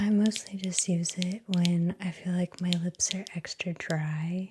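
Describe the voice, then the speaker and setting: Soft-spoken and somewhat breathy, a woman speaks in a fairly low, dark, mellow voice. Her intonation is monotone and flat, and her pace is fairly slow. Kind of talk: ASMR casual chat.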